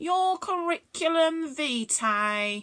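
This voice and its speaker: Using a put-on character voice, a woman squeaks out her words at an extremely high pitch with very wide pitch swings. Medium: read story. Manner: very polite, well-spoken.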